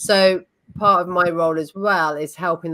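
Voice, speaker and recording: With a British accent, the speaker talks at a fairly slow pace in a bright, sharp tone and fairly even intonation. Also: woman. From United Kingdom. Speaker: facilitation trainer. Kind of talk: interview podcast.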